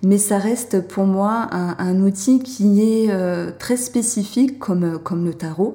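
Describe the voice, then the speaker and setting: A woman of medium pitch speaks at a very slow pace with hardly any pauses. Her dark, mellow tone is somewhat breathy, with ordinary pitch variation. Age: 30s. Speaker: tarot reader and fortune teller on video platform. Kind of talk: casual interview.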